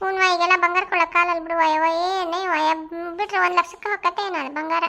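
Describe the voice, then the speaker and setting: This woman uses a put-on character voice pitched extremely high, talking at a fairly quick pace with flat, monotone intonation. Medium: solo performance. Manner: inquisitive, gossipy.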